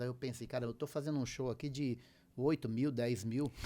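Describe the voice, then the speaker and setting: Very fast pace, fairly even intonation and a dark, mellow tone. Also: man. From southern Brazil, raised in Paraná. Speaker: musician and music producer. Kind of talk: casual interview chat.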